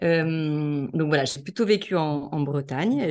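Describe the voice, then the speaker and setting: The intonation is lively. The background is quiet. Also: woman. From western France, La Baule near Nantes. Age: 40s. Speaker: entrepreneur and author on couples. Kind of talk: interview conversation.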